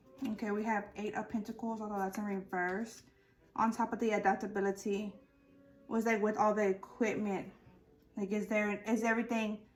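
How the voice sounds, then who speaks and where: With music in the background, a woman speaks at a fairly high pitch in a monotone, flat intonation. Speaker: tarot reader. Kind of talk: tarot reading. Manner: slow and relaxed; halting, many fillers.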